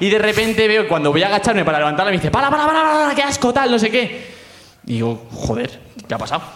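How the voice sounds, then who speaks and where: A man with a high voice talks very fast, his pitch swinging very widely, over noticeable background noise. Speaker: audience member. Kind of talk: storytelling on stage. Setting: stage with audience.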